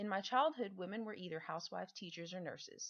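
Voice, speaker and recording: A woman with a Southern accent talks at a very fast pace with ordinary pitch variation. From Texas Gulf Coast, Lake Jackson. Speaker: former teacher, stay-at-home mother. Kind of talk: reading aloud. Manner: formal.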